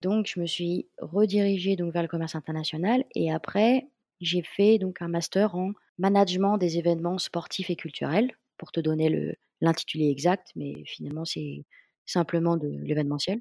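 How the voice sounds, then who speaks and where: A woman with a dark, mellow tone and fairly low pitch, recorded dry and close with no echo. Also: ordinary pitch variation, moderate pace. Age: 20s. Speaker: stunt performer. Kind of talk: casual interview.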